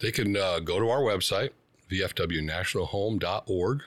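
This man has an unremarkable speaking voice with ordinary pitch variation at a moderate pace. The recording is very clean, with a silent background. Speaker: executive director of veterans home. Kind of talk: interview.

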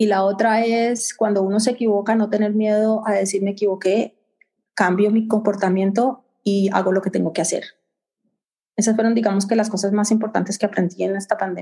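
A woman speaks at a fairly quick pace in a medium-pitched, somewhat breathy voice with a dark, mellow tone, very even loudness, and monotone, flat intonation. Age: middle-aged. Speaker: infectious disease physician. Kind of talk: interview. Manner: halting.

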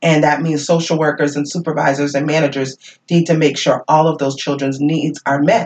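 The speech moves at a fairly quick pace. The intonation is monotone and flat. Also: woman, very deep, low pitch for a woman. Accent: American. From Worcester, Massachusetts, US. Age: 50s. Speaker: social work manager. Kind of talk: casual chat.

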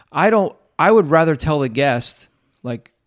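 Here a man talks with a normal speaking voice at a fairly high pitch. His intonation is lively, and the recording is very clean with a silent background. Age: 40s. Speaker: podcast host. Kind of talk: casual chat.

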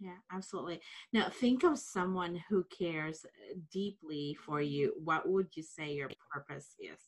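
A woman with an unremarkable speaking voice, fairly low in pitch, at a fairly slow pace, with ordinary pitch variation and big swings in loudness. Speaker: podcast host. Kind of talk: interview. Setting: video call.

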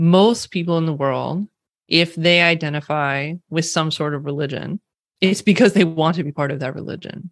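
Here the tempo is moderate. A Californian accent comes through. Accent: Californian West Coast. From California, US West Coast. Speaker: diversity and inclusion consultant. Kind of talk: interview conversation. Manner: casual, uses filler like 'like'.

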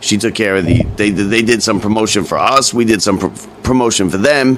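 This man speaks at a fairly quick pace with lively intonation. Noticeable background noise runs behind him. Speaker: podcast host. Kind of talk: casual chat.

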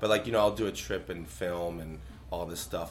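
A man speaks with a very deep, low pitch and vocal fry. His pace is fairly quick and his intonation lively. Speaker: guest, powerlifter and social media personality.

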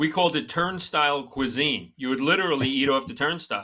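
With a New York accent, a man speaks at a moderate pace in a bright, sharp tone, his fairly high pitch carrying lively intonation. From Long Island, New York. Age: 50s. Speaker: comedian and former police officer. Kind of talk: casual chat.

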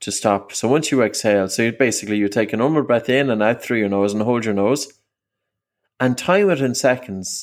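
A man talks in an unremarkable speaking voice at medium pitch, with ordinary pitch variation. The recording is very clean, with a silent background. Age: 40s. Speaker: breathing coach and author. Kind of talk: interview.

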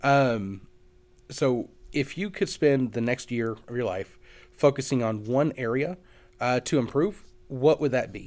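In a very clean recording with a silent background, a man speaks at a medium pitch with a Kentucky accent. His pace is fairly slow, with ordinary pitch variation and long, frequent pauses. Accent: Kentucky Southern. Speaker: podcast host. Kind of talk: casual interview.

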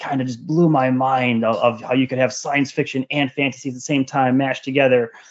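A man speaks with an American accent. His pitch is medium and his pace fairly quick. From US Midwest, rural northern Wisconsin. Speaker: fantasy author. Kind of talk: interview. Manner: hesitant, many fillers.

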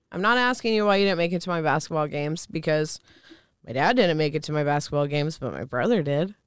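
Speaking at a very fast pace, a woman with a very deep, low pitch and an American accent uses lively intonation in a very clean recording with a silent background. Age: 30s. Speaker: intuitive reader and energy healer. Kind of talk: casual chat, personal testimony.

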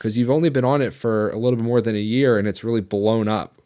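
Heard in a very clean recording with a silent background, a man with a plain, everyday voice speaks at a medium pitch with ordinary pitch variation. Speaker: podcast host, jiu-jitsu brown belt, former MMA fighter. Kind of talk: podcast hosting, ad read and conversation.

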